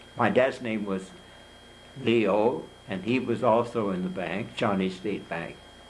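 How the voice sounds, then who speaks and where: In a Midwestern US accent, a man talks at a fairly low pitch with ordinary pitch variation. The room echo is audible. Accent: US Midwest. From Kansas, Topeka. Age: 90s. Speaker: hall of fame inductee. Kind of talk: interview. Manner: halting.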